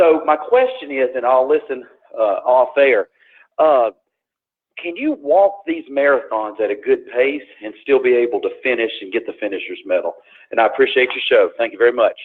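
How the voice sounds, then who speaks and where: A man speaks in a Southern US accent. His pace is moderate. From Tennessee, US South. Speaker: caller. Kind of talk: call-in question. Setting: phone call. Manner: halting.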